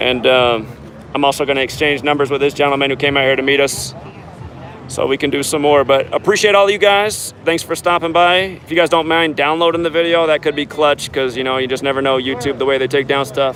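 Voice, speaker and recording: A man with an American accent, fairly high pitch, ordinary pitch variation and a fairly quick pace, with noticeable background noise. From Portland, Oregon. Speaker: street livestreamer. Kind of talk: casual chat. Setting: outdoors. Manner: voice cracking.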